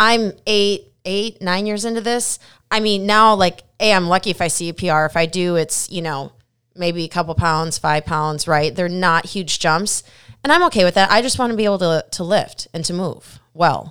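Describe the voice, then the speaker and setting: The tone is energetic, with ordinary pitch variation at a moderate pace. The recording is very clean, with a silent background. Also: woman, medium pitch for a woman. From Minnesota. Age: 40s. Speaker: gym manager and fitness coach. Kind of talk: casual interview.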